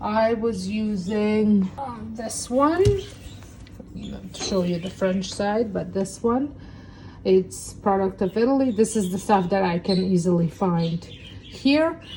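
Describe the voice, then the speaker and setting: A woman speaks at a very slow pace with a non-native accent. Her pitch is medium, with ordinary variation. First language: not English. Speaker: cooking channel host. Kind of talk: cooking tutorial. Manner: casual, with hesitations.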